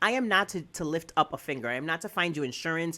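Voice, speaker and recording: Loud and energetic, a woman speaks in a bright, sharp tone at a fairly low pitch on a very clean recording with a silent background. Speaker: wedding planner. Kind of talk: casual chat. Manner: hyper, energetic.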